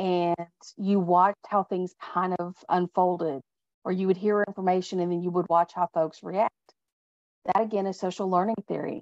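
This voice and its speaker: A woman is recorded with a dry, close sound with no echo against a quiet background. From Texas. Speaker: leadership speaker. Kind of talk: webinar presentation.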